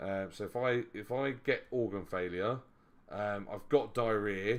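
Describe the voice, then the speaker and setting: With an English accent, a man speaks at a fairly slow pace. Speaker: board game streamer. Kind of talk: live stream commentary. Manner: loud; casual, hesitant with fillers.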